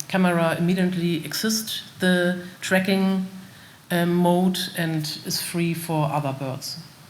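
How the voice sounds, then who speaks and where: Audible room echo surrounds a woman with a German accent who speaks at a very slow pace and a fairly low pitch. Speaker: company representative presenting bird detection system. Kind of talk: conference Q&A. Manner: halting, many fillers.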